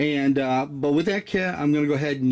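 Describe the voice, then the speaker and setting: Noticeable background noise sits under the recording. A man talks at a moderate pace. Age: 60s. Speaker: YouTuber, van and Jeep hobbyist. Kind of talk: tutorial. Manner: hesitant, many fillers.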